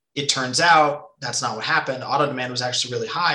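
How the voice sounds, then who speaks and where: Here a man with a western Canadian accent speaks at a medium pitch. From Canada, British Columbia (Nelson). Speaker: economist, former college football player. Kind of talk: interview.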